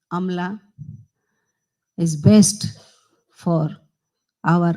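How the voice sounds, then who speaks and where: A woman speaks with fairly low pitch and fairly even intonation. Her tone is dark and mellow, and somewhat breathy. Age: 60s. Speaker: politician. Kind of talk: ceremonial speech. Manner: halting.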